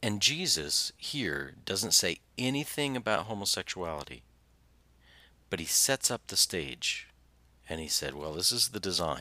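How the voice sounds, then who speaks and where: A man with an American accent talks at a fairly slow pace in a very deep, low pitch with vocal fry and very wide pitch swings. The recording is very clean, with a silent background. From Southern Indiana. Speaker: pastor and podcast host. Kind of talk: sermon-style podcast teaching with scripture reading. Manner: halting, many fillers; drops word endings.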